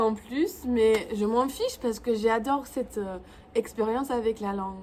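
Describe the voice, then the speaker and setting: A woman talks at a fairly slow pace. She speaks with a non-native accent. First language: English (speaking French). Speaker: YouTuber. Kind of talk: vlog tutorial. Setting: home, in front of camera. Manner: halting.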